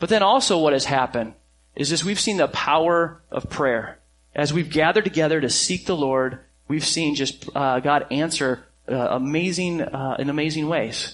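A man with an ordinary speaking voice, fairly high in pitch, at a moderate pace with ordinary pitch variation against a quiet background. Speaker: pastor. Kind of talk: sermon. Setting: church.

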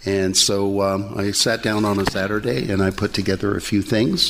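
Over noticeable background noise, a man speaks at a fairly slow pace. His pitch is fairly low and his intonation fairly even. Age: old. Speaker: addiction recovery program team lead. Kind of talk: testimony.

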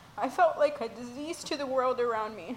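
A woman with an American accent speaks at a moderate pace and a high pitch, with ordinary pitch variation. Noticeable background noise runs behind her. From Mexico, raised in the US. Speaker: church member sharing testimony. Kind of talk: testimony.

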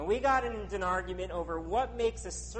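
Lively intonation runs through the speaker's natural reading voice.

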